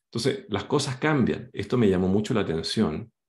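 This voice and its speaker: A fairly low male voice with vocal fry and very wide pitch swings, in a quiet background. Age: 50s. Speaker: career coach and company founder; career coach. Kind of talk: online workshop presentation. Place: home room. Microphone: webcam.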